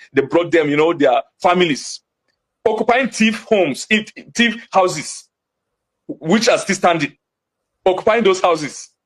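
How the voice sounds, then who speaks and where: A man with a Nigerian accent, high-pitched, at a moderate pace, lively intonation and long, frequent pauses. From Nigeria, Jos (Plateau State). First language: Hausa. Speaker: community voice from attacked area. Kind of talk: TV interview. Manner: animated.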